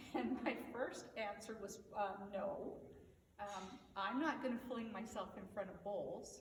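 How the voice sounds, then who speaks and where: A woman's fairly high voice at a very slow pace, with ordinary pitch variation, audible room echo and noticeable background noise. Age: 60s. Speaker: equine therapy practitioner. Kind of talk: motivational talk. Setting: on horseback at a ranch. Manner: hesitant, many filler words.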